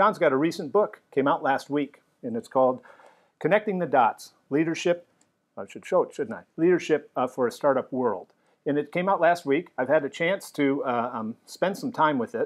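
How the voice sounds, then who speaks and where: The setting is quiet. A man talks at a moderate pace. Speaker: host interviewer. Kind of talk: event host introduction. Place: home room. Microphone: lapel.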